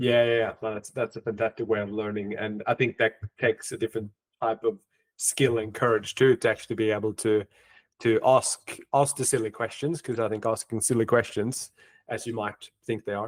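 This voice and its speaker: On a very clean recording with a silent background and a dry, close sound with no echo, a man speaks fairly quickly in a monotone, flat intonation. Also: medium pitch for a man. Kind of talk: podcast host introduction and interview.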